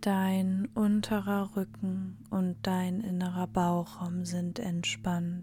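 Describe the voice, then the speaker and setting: Hardly any pauses break up the speech. Its delivery is very slow. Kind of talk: guided meditation. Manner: slow, soft-spoken; calm, soothing, with long pauses and repeated phrases.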